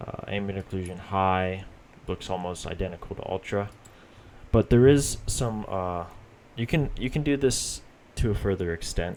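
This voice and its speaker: At a moderate pace and with ordinary pitch variation, a man with a very deep, low voice speaks, leaving long, frequent pauses. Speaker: gaming youtuber. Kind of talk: tutorial. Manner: halting, stuttering.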